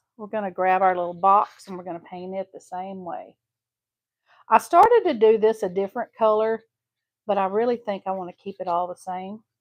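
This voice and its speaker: A woman with a Texas accent at medium pitch and moderate pace, her intonation fairly even, with big swings in loudness and a dry, close sound with no echo. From Southeast Texas. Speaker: craft tutorial host. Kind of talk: live craft tutorial. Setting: live stream. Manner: casual, chatty.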